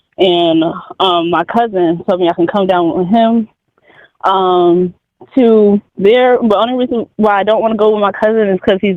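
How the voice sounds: With fairly even intonation, a man speaks at a high pitch in a dry, close sound with no echo.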